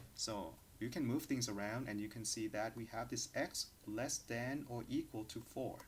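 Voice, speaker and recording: A man's medium-pitched, somewhat breathy voice with fairly even intonation. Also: moderate pace. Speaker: university lecturer. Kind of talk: lecture. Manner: hesitant with fillers.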